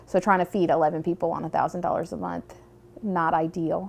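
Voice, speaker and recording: Her fairly low voice moves at a fairly quick pace as the woman speaks. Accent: Southern US. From US South, rural Tennessee. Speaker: university student. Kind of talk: personal documentary narrative.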